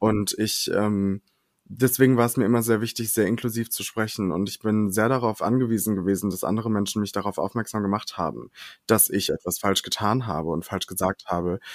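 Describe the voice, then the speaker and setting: A man speaks in a normal speaking voice, fairly low in pitch with ordinary pitch variation, at a fairly quick pace. The recording is very clean, with a silent background. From western Germany, Ahrweiler area. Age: 20s. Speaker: drag queen and singer. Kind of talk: casual chat.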